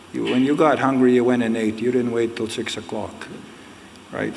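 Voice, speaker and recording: A man's monotone, flat voice at a medium pitch and moderate pace, with audible room echo and noticeable background noise. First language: Ojibwe. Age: 60s. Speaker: Ojibwe elder and storyteller, book author. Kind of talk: public talk at a book launch.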